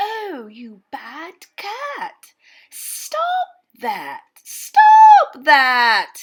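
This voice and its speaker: In a put-on character voice, a female-sounding speaker talks at an extremely high pitch and a very slow pace, with very wide pitch swings. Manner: annoyed, scolding.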